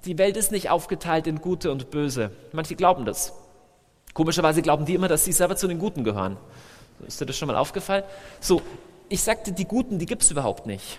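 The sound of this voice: Lively intonation, a slightly mellow tone and a fairly quick pace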